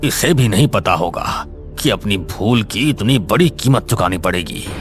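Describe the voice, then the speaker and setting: A man's put-on character voice, medium in pitch and moderate in pace, with clear music in the background. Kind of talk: horror story narration. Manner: grave, menacing.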